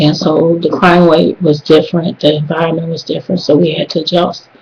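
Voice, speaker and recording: Over noticeable background noise, a woman with an American accent speaks at a fairly quick pace in a fairly low pitch, with monotone, flat intonation. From US South, South Carolina then Detroit from age ten. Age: 40s. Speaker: student. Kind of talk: class assignment video monologue. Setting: webcam recording. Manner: casual with frequent hesitations.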